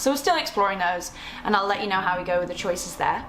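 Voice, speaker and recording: Against noticeable background noise and audible room echo, a woman with an English accent speaks at a fairly high pitch with lively intonation. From England. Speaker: lifestyle vlogger. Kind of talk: casual vlog. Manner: fast.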